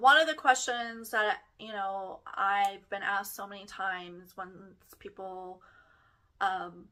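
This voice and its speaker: Very slow pace, ordinary pitch variation, and big swings in loudness. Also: woman, medium pitch for a woman. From Texas. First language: German (lost). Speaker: podcast host. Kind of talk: personal storytelling podcast monologue. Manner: casual, chatty.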